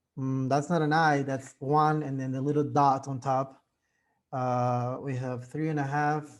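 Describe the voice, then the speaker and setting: Over a quiet background, a man with a fairly high voice speaks at a fairly slow pace in a flat, monotone way. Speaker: math teacher. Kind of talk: lecture. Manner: casual, filler-heavy.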